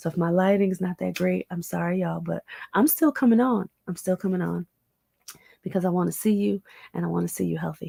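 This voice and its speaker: The recording is very clean with a silent background, and the sound is dry and close with no echo. A woman speaks at a moderate pace. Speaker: health and wellness livestreamer. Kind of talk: casual livestream talk. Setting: at family home during holidays, livestream.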